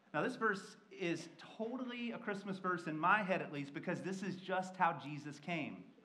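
Amid strong room echo, a man with an American accent talks at a moderate pace in a high pitch with a bright, sharp tone. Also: ordinary pitch variation.

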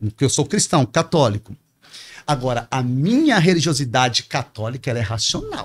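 At a moderate pace, a man with a medium pitch speaks with lively intonation and a somewhat breathy sound. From Espírito Santo, then Pará, Brazil; Brazil. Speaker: teacher and politician; teacher, politician. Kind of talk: interview answer. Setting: studio. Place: studio. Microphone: studio mic.

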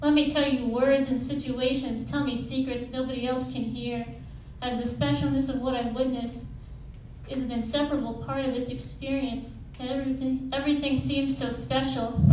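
A woman's high-pitched, monotone, flat delivery at a moderate pace, with audible room echo and light background noise. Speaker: poet and student; poet. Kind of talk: poetry reading. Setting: stage with audience. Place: hall. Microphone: camera far.

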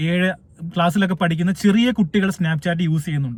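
A high-pitched man. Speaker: YouTuber. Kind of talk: monologue commentary.

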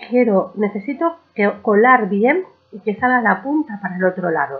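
A woman speaks at a moderate pace with a slightly husky edge. Her pitch sits in the medium range. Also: lively intonation.

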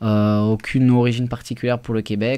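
A man's medium-pitched voice, dark and mellow in tone, monotone and flat in intonation, over a quiet background. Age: 20s. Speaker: restaurant owner; guest. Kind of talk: radio interview. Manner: halting, many fillers. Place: studio. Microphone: studio mic.

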